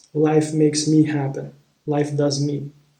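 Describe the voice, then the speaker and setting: A man with a Romanian accent, a fairly high pitch, a dark, mellow tone and a somewhat breathy quality, at a very slow pace. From Moldova. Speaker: spiritual vlogger, former relationship coach. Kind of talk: personal storytelling monologue. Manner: halting, with many repetitions and fillers.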